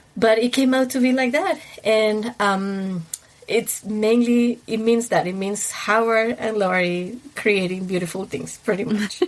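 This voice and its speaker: Fairly slow speech from a woman with an Ecuadorian accent, fairly high pitch and ordinary pitch variation over noticeable background noise. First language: Spanish. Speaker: wedding planner. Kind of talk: casual interview.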